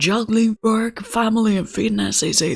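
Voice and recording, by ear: This is a put-on character voice with a fairly high pitch and a moderate pace. Faint music plays in the background.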